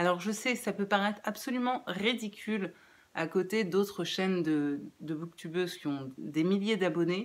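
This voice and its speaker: Fairly slow speech from a woman, medium in pitch, her intonation varying in an ordinary way. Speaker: book youtuber. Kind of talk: casual vlog outro. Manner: halting, many hesitations.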